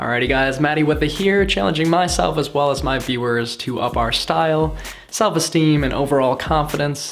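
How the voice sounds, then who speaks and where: A man speaks at a fairly quick pace with lively intonation and hardly any pauses. Audible room echo and noticeable background noise are present. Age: 20s. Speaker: self-improvement vlogger. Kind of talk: casual vlog monologue. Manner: casual, filler-heavy.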